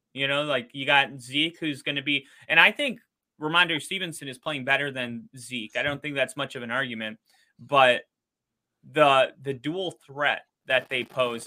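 An unremarkable speaking voice from a man, medium in pitch, with fairly even intonation and a moderate pace. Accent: American. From Wisconsin. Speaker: football podcast host. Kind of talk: casual interview chat. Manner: laughs often.

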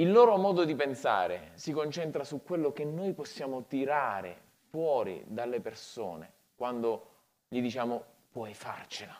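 Fairly high in pitch, a man speaks with lively intonation at a fairly slow pace. His pauses are long and frequent. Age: 40s. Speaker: pastor. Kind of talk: sermon.

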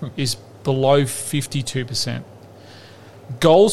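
A man speaks very slowly in an Australian accent, his pitch fairly high and its variation ordinary. His voice is somewhat breathy. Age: 40s. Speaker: football podcast co-host. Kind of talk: casual chat.

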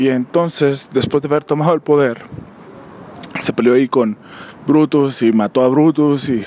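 A man with a fairly high pitch speaks in fairly even intonation, leaving long, frequent pauses. Noticeable background noise runs under his voice. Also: moderate pace. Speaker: podcast host. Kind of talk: solo monologue commentary. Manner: halting, many fillers.

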